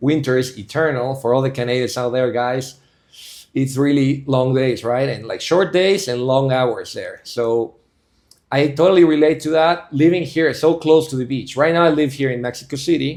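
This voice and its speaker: Moderate pace and fairly high pitch from a man, with ordinary pitch variation. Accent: Spanish. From Bolivia. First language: Spanish. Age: 30s. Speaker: civil engineer and investor, podcast guest. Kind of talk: casual interview chat.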